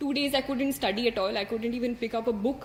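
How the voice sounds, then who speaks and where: A high-pitched woman with an Indian accent, amid noticeable background noise. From India, Hindi-speaking. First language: Hindi. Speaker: civil service exam topper. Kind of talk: motivational talk to an audience. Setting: stage with audience. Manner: halting, many fillers.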